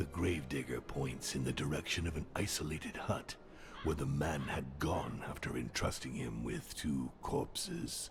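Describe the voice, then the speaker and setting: Putting on a character voice, a man speaks at a moderate pace in a very deep, low pitch with a menacing, theatrical tone, clear background noise behind him. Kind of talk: dark fantasy narration. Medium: video game.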